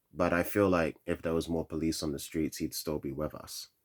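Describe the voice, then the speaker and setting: A man talks at a moderate pace. His voice is very deep and low. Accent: London. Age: 20s. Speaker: vlogger. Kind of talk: rant. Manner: monotone; halting.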